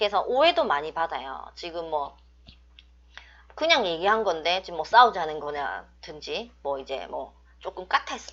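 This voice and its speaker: Against a quiet background, a woman with a strong Busan accent speaks at a moderate pace, her pitch swinging very widely. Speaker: fortune teller / saju teacher. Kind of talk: online lecture. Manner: strong, blunt tone.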